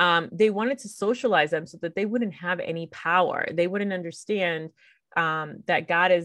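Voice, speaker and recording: In a normal speaking voice, a woman talks at a moderate pace with a fairly low pitch, ordinary pitch variation and big swings in loudness. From US-born Puerto Rican, lived in Puerto Rico nearly 10 years. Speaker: podcast host. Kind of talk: solo commentary podcast. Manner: casual, many fillers.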